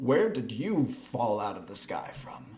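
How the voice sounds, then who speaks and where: A raspy, put-on character voice from a man, medium in pitch with very wide pitch swings, at a fairly slow pace. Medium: actual play.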